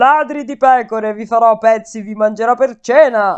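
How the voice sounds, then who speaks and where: A man bellows and growls at a moderate pace in a put-on character voice pitched extremely high. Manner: growling, roaring with rage.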